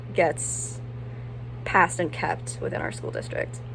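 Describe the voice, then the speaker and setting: Talking at a fairly quick pace with an American accent, a woman is heard through noticeable background noise. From Ocean City, US. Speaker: recent high school graduate. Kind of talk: personal statement to camera. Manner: some stuttering.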